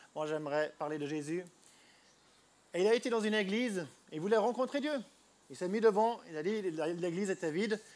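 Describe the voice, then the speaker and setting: A high-pitched man at a fairly quick pace, with lively intonation and long, frequent pauses. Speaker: street preacher. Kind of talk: sermon. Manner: halting.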